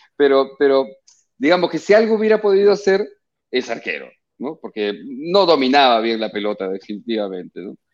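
Against a quiet background, the speaker talks at a fairly quick pace with very wide pitch swings. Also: man, fairly high pitch for a man. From Peru. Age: 50s. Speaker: actor. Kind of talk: radio interview. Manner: halting, repeats words.

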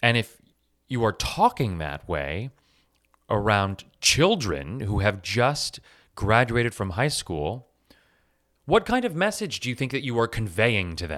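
A man's animated voice at medium pitch, with vocal fry, very wide pitch swings, a fairly slow pace and long, frequent pauses, on a very clean recording with a silent background. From US West Coast, Los Angeles. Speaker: podcast host, teacher, writer, actor. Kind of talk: casual storytelling monologue.

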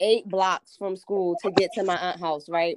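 A woman with a New Jersey accent talks at a moderate pace in a dry, close sound with no echo. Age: 20s. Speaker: podcast guest. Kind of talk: casual chat.

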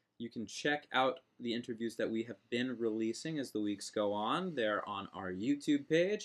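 Speaking at medium pitch and a moderate pace, a man has a plain, everyday voice. He uses ordinary pitch variation and hardly any pauses. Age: 20s. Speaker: podcast co-host. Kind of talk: casual chat.

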